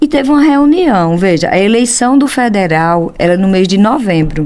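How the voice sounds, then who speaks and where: The speaker is a woman with an animated tone. Her intonation stays lively. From Brazil, Pernambuco backlands (sertão). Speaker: accountant and professional council leader. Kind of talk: interview conversation.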